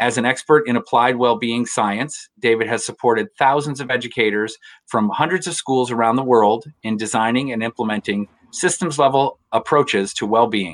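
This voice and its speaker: With an ordinary speaking voice, a man talks at a medium pitch and moderate pace, using ordinary pitch variation, and the sound is dry and close with no echo over a quiet background. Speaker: school psychologist and host.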